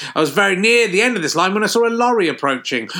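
Against noticeable background noise, a man with a southern English accent speaks in a raised, projected voice with lively intonation. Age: 50s. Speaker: comedian. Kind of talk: casual chat; reading aloud.

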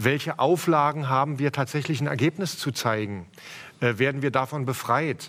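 At a moderate pace, a man talks in a plain, everyday voice of medium pitch, with ordinary pitch variation and very even loudness. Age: 50. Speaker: arts association spokesman. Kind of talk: panel discussion. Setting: stage.

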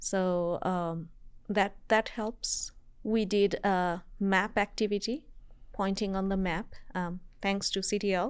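On a very clean recording with a silent background, a woman with a Bangladeshi accent speaks at a very slow pace with a medium pitch and fairly even intonation. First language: Bengali. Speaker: university professor. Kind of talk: interview, casual chat. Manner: halting, with fillers.

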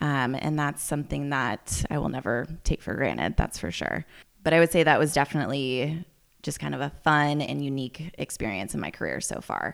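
A woman talks at a fairly quick pace in an American accent, with vocal fry. The recording is very clean, with a silent background. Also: ordinary pitch variation. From US West Coast, Healdsburg in Sonoma County, California. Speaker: winery manager. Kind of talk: interview. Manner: frequent laughter and fillers.

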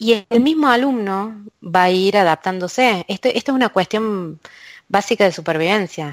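In a dry, close sound with no echo, a woman with a normal speaking voice and medium pitch speaks with lively intonation. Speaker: university lecturer and researcher in language technology. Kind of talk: interview. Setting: remote call from a closed office booth.

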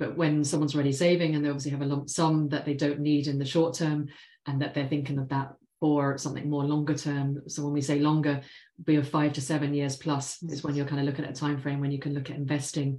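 In an English accent, a woman talks very fast with a very deep, low pitch and a dark, mellow tone. Her intonation is monotone and flat, and the background is quiet. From London, England. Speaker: financial planner. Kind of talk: interview.

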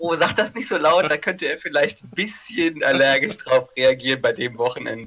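Barely pausing, a man speaks at a moderate pace with lively intonation. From Germany, Kaiserslautern (Palatinate). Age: 30s. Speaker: tabletop game player. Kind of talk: casual chat.

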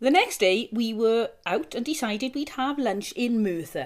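With a plain, everyday voice, a woman talks at a fairly high pitch with lively intonation. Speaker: podcast host. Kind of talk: casual chat.

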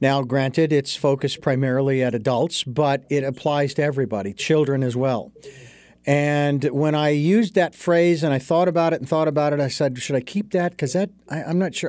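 An ordinary speaking voice from a man with an American accent, fairly high in pitch, with ordinary pitch variation and a fairly quick pace. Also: very clean recording, silent background. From Arizona. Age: 60s. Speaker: podcast host. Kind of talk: interview.

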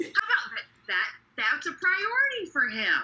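A woman's extremely high voice with very wide pitch swings over noticeable background noise. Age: 40s. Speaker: senior services manager. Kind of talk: casual chat.

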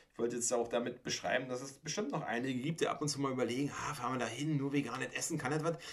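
A man speaks at a very fast pace. His pitch is medium, and he hardly pauses at all. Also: fairly even intonation. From Mecklenburg-Vorpommern, Germany. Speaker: podcast host. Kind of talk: casual chat.

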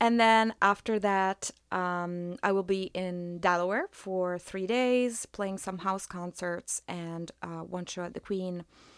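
Speaking very slowly with hardly any pauses, a woman with a medium pitch keeps a fairly even intonation in a dry, close sound with no echo, on a very clean recording with a silent background. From Italy. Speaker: musician and school music teacher. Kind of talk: interview. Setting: radio studio, in person.

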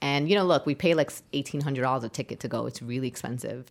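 A woman with a New York accent speaks in a very deep, low pitch. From Brooklyn, New York. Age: 30s. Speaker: community organizer. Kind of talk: interview storytelling.

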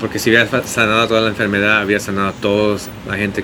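Against noticeable background noise, a man with a fairly low pitch talks very fast in a monotone, flat delivery. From San Diego, California; Mexican-Bolivian family. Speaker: pastor and restaurant owner. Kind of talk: casual chat. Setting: outdoors, street cafe.

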